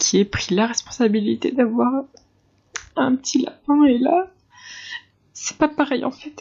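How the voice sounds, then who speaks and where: Very slowly, with long, frequent pauses, a woman speaks in a high pitch with ordinary pitch variation. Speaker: vlogger. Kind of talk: personal vlog talk to camera. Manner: halting, many hesitations.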